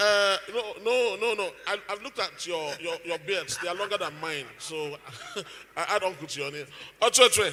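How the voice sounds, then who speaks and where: Projecting loudly at a moderate pace, a man speaks at a high pitch with a bright, sharp tone. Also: ordinary pitch variation. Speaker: event host. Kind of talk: event hosting.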